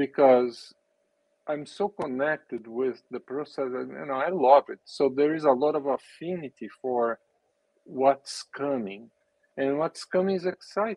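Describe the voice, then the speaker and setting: A man with a Brazilian Portuguese accent speaks with a fairly high pitch. His pace is fairly slow and his pitch variation ordinary. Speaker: business and spirituality coach, race car driver. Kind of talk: casual interview.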